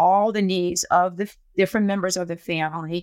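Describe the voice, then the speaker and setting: An unremarkable speaking voice is heard here. It moves at a moderate pace with fairly even intonation. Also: woman. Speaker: podcast host. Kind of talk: casual interview.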